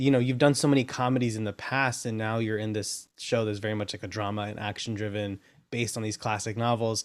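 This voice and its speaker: Over a very clean recording with a silent background, a man talks in a normal speaking voice at medium pitch and a fairly quick pace. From US, Salvadoran immigrant family. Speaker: podcast host. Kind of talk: interview.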